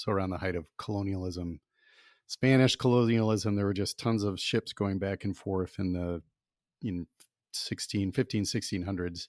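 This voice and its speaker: A man talks in an ordinary speaking voice at a fairly low pitch, with fairly even intonation and a moderate pace. The very clean recording has a silent background and a dry, close sound with no echo. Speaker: podcast co-host. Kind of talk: casual podcast conversation.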